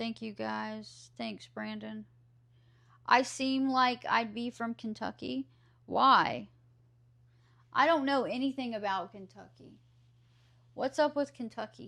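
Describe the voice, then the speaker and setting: In an American accent, a woman speaks at a very slow pace with long, frequent pauses and big swings in loudness. The recording is very clean, with a silent background. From US South. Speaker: streamer. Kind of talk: casual chat. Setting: live stream. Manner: animated.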